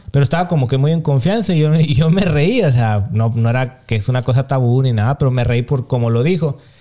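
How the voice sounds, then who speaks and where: Barely stopping for breath, a man talks at a very fast pace with hardly any pauses. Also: medium pitch for a man, ordinary pitch variation, very even loudness. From Mexico. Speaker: podcast co-host. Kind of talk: casual chat.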